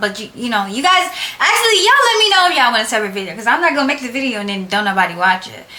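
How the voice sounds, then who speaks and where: A woman projects a raised voice at a high pitch, swinging very widely in pitch. Room echo is audible, and background noise is noticeable. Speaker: nail technician YouTuber. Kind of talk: casual tutorial vlog. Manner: loud, projecting voice; casual, chatty. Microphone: no microphone, camera audio.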